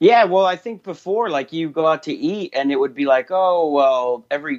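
A man talks fairly quickly in an ordinary speaking voice, his intonation lively. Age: 30s. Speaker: comedian and podcast host. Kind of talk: casual chat.

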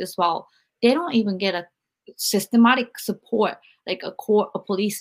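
A woman with a plain, everyday voice talks at a fairly quick pace, her fairly high pitch showing ordinary variation. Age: 40s. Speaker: podcast host and author. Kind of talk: interview.

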